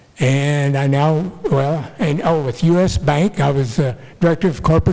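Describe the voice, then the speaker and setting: Here a man has a dark, mellow tone. His pitch is fairly high and varies in an ordinary way. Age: 80s+. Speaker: retired FBI agent speaking at public comment. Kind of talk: public comment at a township meeting. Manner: halting.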